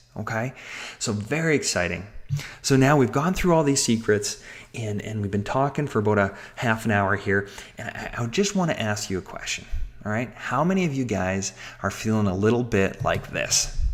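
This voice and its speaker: With noticeable background noise behind him, a man of medium pitch speaks in an animated tone with lively intonation. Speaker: webinar presenter. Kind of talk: sales pitch. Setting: webinar call. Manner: fast.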